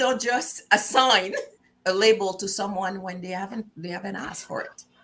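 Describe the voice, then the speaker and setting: At a moderate pace, a woman speaks with a Quebec accent. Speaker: talk show host. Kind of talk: casual interview chat.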